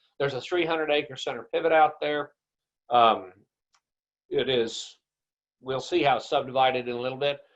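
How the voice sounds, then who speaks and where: Using a normal speaking voice, a man with an American accent talks at a moderate pace. His pitch is fairly high, and his intonation is fairly even. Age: 60s. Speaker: rancher and grazing consultant. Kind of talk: webinar presentation. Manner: casual conversational.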